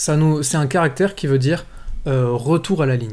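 Ordinary in its pitch variation, the voice carries a somewhat breathy quality. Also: man. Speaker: programming tutor. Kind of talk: tutorial.

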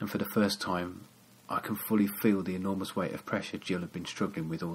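A natural reading voice, intonation fairly even

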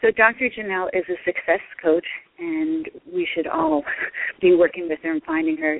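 Noticeable background noise under a woman's voice at a moderate pace. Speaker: radio host. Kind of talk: radio interview. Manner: animated.

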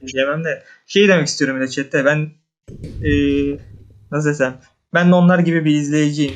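A man speaks at a moderate pace with a fairly high pitch. His intonation is fairly even, broken by long, frequent pauses. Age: 20s. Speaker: viewer. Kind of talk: casual chat. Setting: voice call. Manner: halting.

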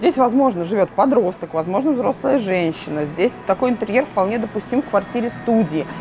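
Noticeable background noise beneath a woman's voice. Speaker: store showroom reviewer. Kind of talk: casual vlog chat. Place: shop. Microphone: lapel.

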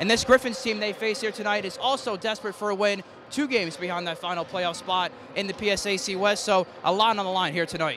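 A man talks at a very fast pace with a high pitch and ordinary pitch variation. The sound is dry with no echo, though background noise is noticeable. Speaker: television sports play-by-play announcer. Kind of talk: broadcast opening standup, welcoming viewers. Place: hall. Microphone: handheld.

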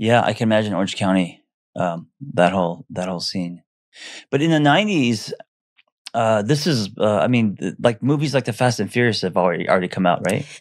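An ordinary speaking voice from a man with an American accent, fairly low in pitch, with lively intonation at a fairly quick pace over a quiet background. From US West Coast. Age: 50s. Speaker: therapist. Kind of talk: casual chat. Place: studio. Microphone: studio mic.

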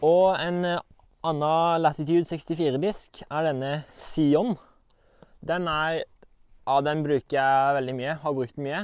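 Against a quiet background and in a dry sound with no echo, a man with a fairly high pitch talks at a very slow pace with fairly even intonation. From Norway. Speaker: disc golf player. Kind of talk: equipment walkthrough. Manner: casual, halting. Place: garden.

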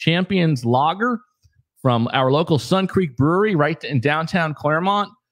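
A man speaks at a moderate pace with lively intonation over a quiet background. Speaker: podcast host. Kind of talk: casual podcast chat. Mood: jovial, laughing. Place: studio. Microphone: studio mic.

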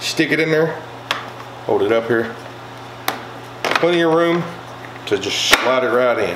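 A man talks at a fairly slow pace in a medium pitch with lively intonation. Audible room echo surrounds his voice.

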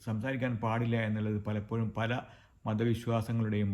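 In a plain, everyday voice, a man talks at a medium pitch. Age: 50s. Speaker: health video creator. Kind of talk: informal talk to camera.

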